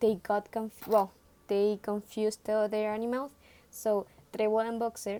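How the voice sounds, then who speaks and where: Delivered at a moderate pace in a Spanish accent, the voice has a dark, mellow tone. Its intonation is monotone and flat. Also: woman, fairly high pitch for a woman. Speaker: student presenting a book report. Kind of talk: book report talk. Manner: halting, with many fillers and self-corrections.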